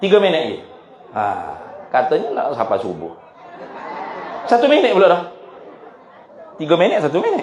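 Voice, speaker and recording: A man in a strong Kelantan accent at a fairly quick pace with long, frequent pauses, audible room echo and crowd noise in the background. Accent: thick Kelantan Malay. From Malaysia, Kelantan. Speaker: Islamic preacher. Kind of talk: religious lecture.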